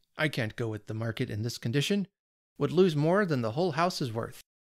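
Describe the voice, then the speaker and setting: A man's put-on character voice, rumbling at medium pitch and a fairly quick pace, with a dry, close sound and no echo. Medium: read story. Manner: gloomy, grumbling.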